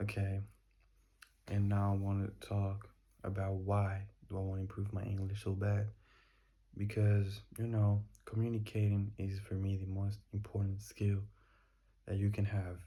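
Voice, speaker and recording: Somewhat breathy and dark, mellow in tone, a man with a fairly low pitch speaks in a flat monotone, leaving long, frequent pauses. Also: moderate pace. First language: not English. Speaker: daily vlogger. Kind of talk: casual monologue. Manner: halting.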